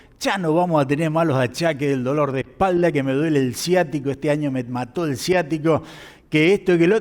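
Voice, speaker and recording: A normal speaking voice from a man at fairly high pitch with ordinary pitch variation and a moderate pace on a very clean recording with a silent background. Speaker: pastor. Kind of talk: sermon.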